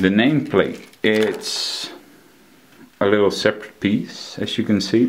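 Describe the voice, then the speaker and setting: A man speaks with a Dutch accent and ordinary pitch variation. He keeps a fairly slow pace. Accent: non-native English, Dutch. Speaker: collectibles reviewer. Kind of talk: product review. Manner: halting, frequent fillers.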